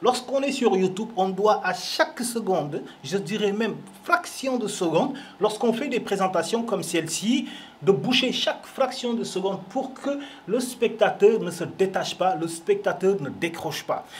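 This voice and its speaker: A man speaks at a high pitch with lively intonation. His pace is fairly slow, and there is noticeable background noise. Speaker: film show host. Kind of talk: casual commentary. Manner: animated.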